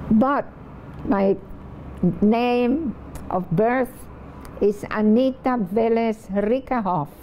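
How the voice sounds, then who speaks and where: Speaking very slowly with long, frequent pauses, a woman uses a fairly high pitch and ordinary pitch variation. Noticeable background noise is present. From Puerto Rico (Vieques), then New York from age 12. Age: 90s. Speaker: poet. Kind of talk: reflective interview. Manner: halting, with frequent fillers.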